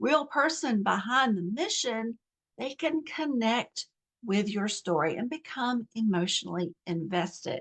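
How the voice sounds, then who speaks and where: With an American accent, a woman speaks at a fairly slow pace and fairly high pitch. Her voice is somewhat breathy, with lively intonation. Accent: Southern US (momentary, self-noted). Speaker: nonprofit coach. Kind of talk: online course lesson. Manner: conversational with fillers.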